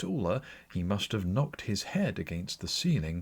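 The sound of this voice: Just an unforced reading voice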